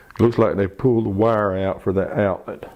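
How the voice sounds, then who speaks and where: His delivery moves at a moderate pace. This man's pitch shifts in an ordinary way. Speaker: auctioneer doing a property tour. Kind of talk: casual talk to camera, property walkthrough.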